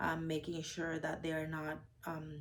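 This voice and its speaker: A woman with a non-native accent speaks at a fairly slow pace in a very deep, low voice. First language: not English. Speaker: registered nurse. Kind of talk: interview. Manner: hesitant, many fillers.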